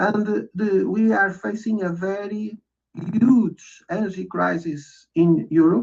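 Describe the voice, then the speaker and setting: A non-native accent marks the speech. The speaker is a man. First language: not English. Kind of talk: casual chat. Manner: halting.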